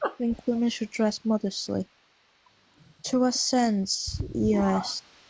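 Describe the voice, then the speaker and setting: A woman's very slow speech at very even loudness, dry and close with no echo, over noticeable background noise. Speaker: debate participant. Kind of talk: casual debate.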